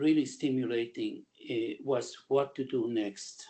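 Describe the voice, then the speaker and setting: The voice belongs to a man and sits fairly high for a man. Its tone is dark and mellow. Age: 80s+. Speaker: retired doctor, webinar attendee. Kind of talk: question and comment in webinar Q&A.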